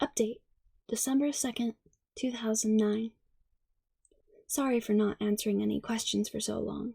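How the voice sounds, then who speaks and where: Soft-spoken words arrive at a moderate pace. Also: woman. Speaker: ASMR creator. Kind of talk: ASMR story reading.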